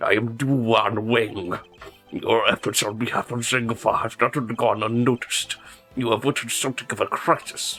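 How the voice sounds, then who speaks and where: A put-on character voice from a man, rumbling and medium in pitch, at a moderate pace. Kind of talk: formal, pompous.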